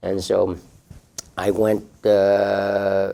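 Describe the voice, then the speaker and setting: A man with a Vietnamese accent speaks in a fairly low pitch and a dark, mellow tone, his intonation monotone and flat. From southern Vietnam. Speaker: refugee telling life story, city employee. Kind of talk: personal testimony. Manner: hesitant, many fillers and repetitions.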